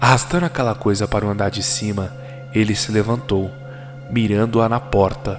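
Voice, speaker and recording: His pitch is medium and his pace moderate. The man's voice shows ordinary pitch variation over background music. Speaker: horror story narrator. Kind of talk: horror story narration.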